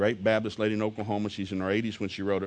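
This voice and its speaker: This man speaks very fast in a Southern US accent, his pitch fairly low. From US South. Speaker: preacher. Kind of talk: sermon. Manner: animated.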